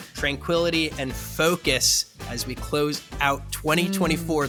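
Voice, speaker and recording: A man talks at a moderate speed over background music. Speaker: podcast host. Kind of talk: casual podcast conversation. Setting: studio.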